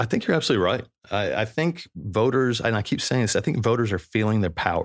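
A man speaks at a very fast pace with an American accent, his medium pitch carried by lively intonation. His loudness stays very even, and the recording is very clean with a silent background. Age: 40s. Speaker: podcast host. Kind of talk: comedic monologue and interview. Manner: joking, irreverent.

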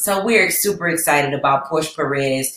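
A woman speaks with a very deep, low pitch and ordinary pitch variation. Her tone is animated. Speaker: podcast co-host. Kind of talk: casual chat. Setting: live stream.

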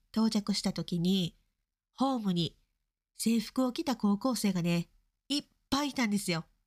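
Recorded very cleanly with a silent background and a dry, close sound with no echo, a woman with a Kansai accent speaks at a moderate pace in a medium pitch with lively intonation. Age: middle-aged. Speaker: podcast host. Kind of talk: casual chat.

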